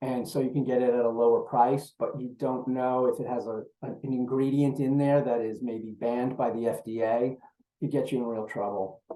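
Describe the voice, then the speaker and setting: A man's medium-pitched voice with a New York accent, dark and mellow in tone, flat and monotone, at a moderate pace. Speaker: procurement executive. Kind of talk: webinar presentation.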